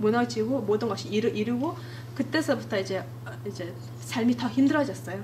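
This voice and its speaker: Fairly quick speech in a Mongolian accent, with audible room echo and noticeable background noise. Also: woman. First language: Mongolian (speaking Korean). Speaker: church member giving testimony. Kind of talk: testimony. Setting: church. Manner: halting.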